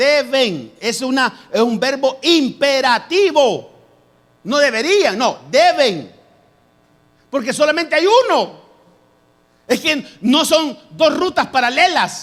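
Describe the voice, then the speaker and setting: Lively intonation carries a very slow pace broken by long, frequent pauses. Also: man, extremely high pitch for a man. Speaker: pastor. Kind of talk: sermon.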